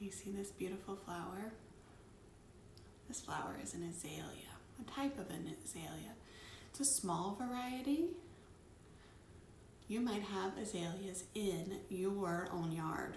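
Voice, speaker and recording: A gentle, animated tone with an American accent at a moderate pace. Noticeable background noise runs under the voice. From US South, North Georgia. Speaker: children's storyteller. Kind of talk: children's storytime show-and-tell.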